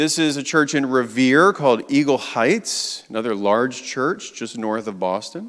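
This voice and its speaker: With an American accent, a man speaks at a medium pitch in an unremarkable speaking voice, using lively intonation. His pace is fairly slow, on a very clean recording with a silent background. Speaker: advocacy group community director. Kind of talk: guest presentation in church service. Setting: church with audience and slides. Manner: conversational, engaging.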